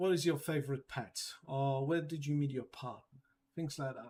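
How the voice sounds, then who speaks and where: A man with a non-native accent speaks at a fairly high pitch, somewhat breathy. The recording is very clean with a silent background. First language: not English. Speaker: data security trainer. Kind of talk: training session. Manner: halting with many fillers.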